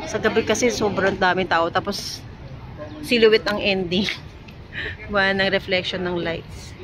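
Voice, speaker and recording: A woman's medium-pitched voice at a fairly slow pace, with fairly even intonation, long, frequent pauses and crowd noise in the background. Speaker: travel vlogger. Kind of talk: casual travel vlog. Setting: indoors in a busy mall. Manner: soft-spoken, holding voice down.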